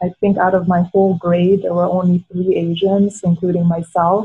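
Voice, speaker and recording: Her delivery is fairly quick and monotone, with flat intonation, as this woman speaks in a medium pitch. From Philippines, raised in Edmonton. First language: Tagalog. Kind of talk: panel discussion.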